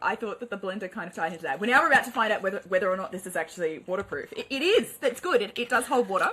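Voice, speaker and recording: A woman with an Australian accent speaks at a very fast pace with hardly any pauses, a fairly high pitch and lively intonation. Her loudness swings widely over noticeable background noise. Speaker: podcast co-host. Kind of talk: casual chat.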